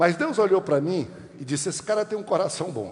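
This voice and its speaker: A man speaks with ordinary pitch variation. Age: 60s. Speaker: pastor. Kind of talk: sermon.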